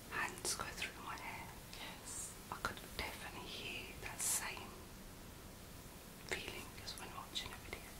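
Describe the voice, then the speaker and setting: A soft-spoken woman whispers at a fairly slow pace. Her speech has long, frequent pauses. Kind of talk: casual vlog chat. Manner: soft ASMR whisper during massage. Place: home room. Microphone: phone near.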